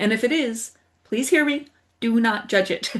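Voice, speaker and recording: Somewhat breathy speech from a woman, fairly high in pitch, at a moderate pace. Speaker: wellness teacher. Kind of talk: guided exercise tutorial. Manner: animated.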